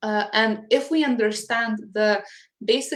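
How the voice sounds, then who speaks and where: A woman with a Lithuanian accent, fairly high in pitch, with ordinary pitch variation. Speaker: English teacher. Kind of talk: interview. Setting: live online interview.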